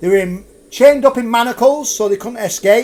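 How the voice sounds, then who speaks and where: A man talks with a Lancashire accent at a moderate pace. His pitch is high. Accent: Lancashire, drops H's. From Lancashire, northern England. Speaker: ghost tour guide. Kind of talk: live storytelling ghost tour. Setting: live stream. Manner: animated.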